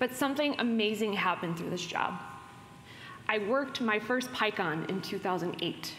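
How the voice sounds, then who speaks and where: A woman talks at a fairly quick pace with ordinary pitch variation, with music in the background and audible room echo. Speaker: keynote speaker. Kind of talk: conference keynote talk. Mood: personal storytelling, light laughs. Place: hall.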